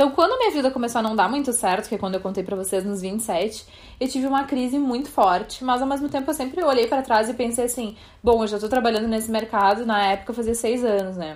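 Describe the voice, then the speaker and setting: A woman at a very fast pace, fairly high in pitch, with ordinary pitch variation. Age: 30s. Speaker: podcast host, fashion journalist. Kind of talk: casual chat.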